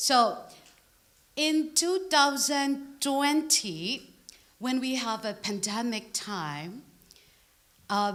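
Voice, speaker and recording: A woman with a Burmese accent speaks very slowly, her pitch swinging very widely, with audible room echo around her. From Burma. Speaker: preacher. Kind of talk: sermon. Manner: halting.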